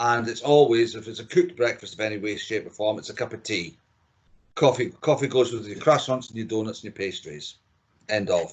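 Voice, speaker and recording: In a Scottish accent, a man speaks at medium pitch and a fairly quick pace, with ordinary pitch variation and big swings in loudness. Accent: Scottish, kept after thirty years. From Scotland, Dundee. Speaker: chief engineer. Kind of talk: casual chat. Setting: remote podcast recording.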